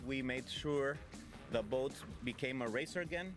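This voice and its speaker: A man's voice sounds dry with no echo, while clear music plays in the background. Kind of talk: interview answer. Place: boat. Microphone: handheld.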